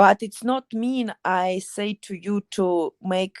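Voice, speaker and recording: A woman speaks with fairly even intonation in a dry, close sound with no echo, on a very clean recording against a silent background. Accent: strong Ukrainian. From Ukraine. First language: Ukrainian. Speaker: MMA fighter. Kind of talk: interview. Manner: halting.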